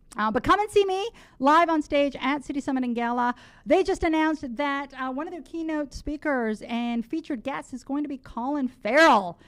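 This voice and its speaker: A woman with a slight Canadian accent talks at a moderate pace, her high pitch carrying an animated tone and lively intonation. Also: quiet background. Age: 40s. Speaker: talk radio host. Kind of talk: talk radio announcements.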